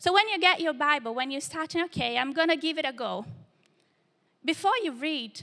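Bright and sharp in tone, a woman with a Portuguese accent projects a raised, high-pitched voice at a fairly quick pace with lively intonation. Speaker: church young adults leader preaching. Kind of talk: sermon. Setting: church service with live congregation.

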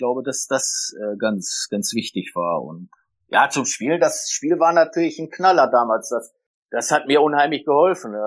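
Against a quiet background, a man speaks fairly slowly at a fairly high pitch with lively intonation. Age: 60s. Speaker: retired football coach. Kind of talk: interview. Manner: hesitant, many fillers.

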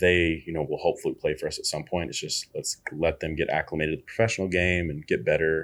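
This man is heard in a very clean recording against a silent background. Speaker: former college basketball player and coach. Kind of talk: casual interview chat.

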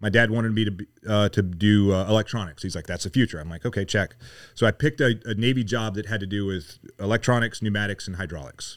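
A man with an American accent, fairly low pitch and a very fast pace, on a very clean recording with a silent background. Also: ordinary pitch variation. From US South, Mississippi. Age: 50s. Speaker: retired Navy SEAL, leadership coach. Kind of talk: casual chat.

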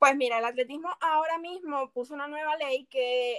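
Heard dry and close with no echo, a woman speaks at a high pitch and moderate pace with ordinary pitch variation. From Venezuela, Los Teques. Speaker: athlete. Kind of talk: interview.

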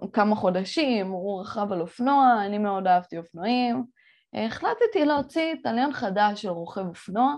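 An animated woman's voice at a fairly high pitch, with lively intonation over a quiet background. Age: 20s. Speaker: entrepreneur and podcast host. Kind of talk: solo podcast monologue.

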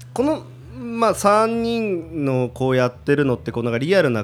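When this man talks, his pitch swings very widely up and down. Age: 30s. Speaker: YouTube commentator, air-conditioner salesman. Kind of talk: casual chat.

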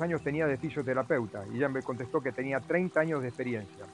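Music plays behind the voice. The delivery is very fast, and the pitch variation is ordinary. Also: man. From Argentina. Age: 70s. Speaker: triathlete. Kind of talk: interview testimony.

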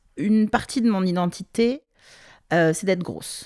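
At a fairly slow pace, a woman talks in an ordinary speaking voice with a fairly low pitch. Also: very clean recording, silent background. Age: 30s. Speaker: project director interviewed about fashion. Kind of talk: interview testimony.

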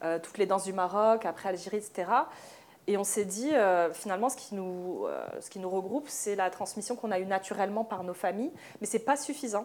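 Here is a woman with an unremarkable speaking voice at a medium pitch and ordinary pitch variation. The recording is very clean, with a silent background. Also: fairly quick pace. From France, Moroccan Amazigh family from Oujda. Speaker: dancer and choreographer. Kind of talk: panel discussion. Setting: live event with audience.

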